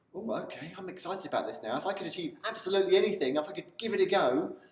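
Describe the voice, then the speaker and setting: Room echo is audible as the words come at a fairly quick pace. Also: man. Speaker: self-help video presenter. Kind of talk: motivational talk to camera. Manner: animated.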